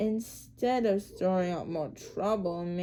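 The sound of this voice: This is an unforced reading voice. The words come out without strain.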